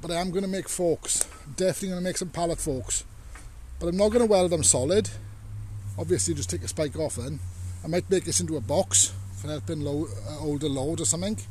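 A man talking at a very fast pace with very wide pitch swings, dry sound without echo, and light background noise. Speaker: hobbyist tractor owner. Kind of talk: casual vlog chat. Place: open country. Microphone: phone near.

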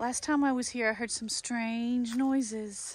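A woman talks at a slow pace with fairly even intonation and a fairly high pitch.

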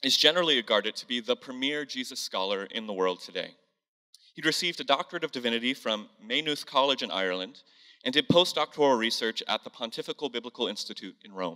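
Over a quiet background, the voice comes fast and very quick, bright and sharp in tone, with big swings in loudness. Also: man. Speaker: church host. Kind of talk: sermon-style introduction. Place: church. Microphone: handheld.

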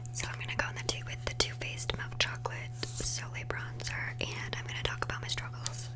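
A soft-spoken woman talks at a fairly quick pace with hardly any pauses over noticeable background noise. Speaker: makeup vlogger. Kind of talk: casual vlog chat. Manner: soft, close-mic ASMR speaking. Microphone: studio mic.

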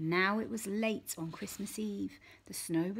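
The reading voice is unforced. Pitch variation stays ordinary.

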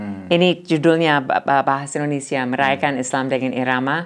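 Against a quiet background, someone talks with an English accent. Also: woman. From United States. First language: English (speaking Indonesian). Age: 60s. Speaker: professor, ethnomusicologist; professor. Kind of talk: interview. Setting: studio. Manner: halting. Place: studio. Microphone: lapel.

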